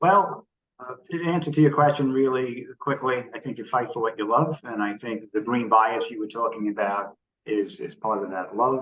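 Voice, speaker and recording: With a New York accent, a man talks at a moderate pace and medium pitch with ordinary pitch variation. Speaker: environmental activist. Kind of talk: interview. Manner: energetic.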